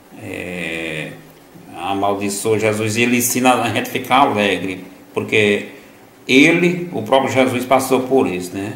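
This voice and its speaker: Against noticeable background noise and audible room echo, a man speaks fairly slowly at medium pitch with lively intonation. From Northeast Brazil, Piauí. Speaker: lay preacher. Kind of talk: gospel reflection. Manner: halting, many fillers.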